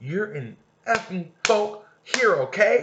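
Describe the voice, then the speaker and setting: A man puts on a shaky, high character voice. He speaks at a very slow pace. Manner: shaky, scared.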